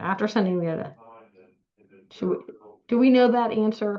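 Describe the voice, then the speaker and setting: A woman's medium-pitched voice in an American accent, dark and mellow in tone, at a moderate pace with ordinary pitch variation. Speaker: law firm partner. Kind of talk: webinar Q&A. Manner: halting, many fillers.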